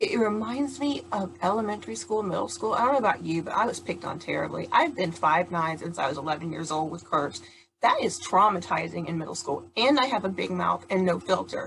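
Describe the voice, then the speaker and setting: A woman speaks loudly at a fairly quick pace. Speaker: charity founder and patient advocate. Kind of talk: prerecorded talk. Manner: occasionally stumbling and stuttering.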